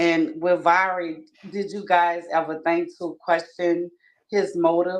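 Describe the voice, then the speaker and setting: A woman speaks at a fairly low pitch with a Louisiana accent. Her intonation is monotone and flat. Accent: Louisiana Southern US. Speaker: caller on livestream. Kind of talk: questioning in live discussion. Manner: formal, polite.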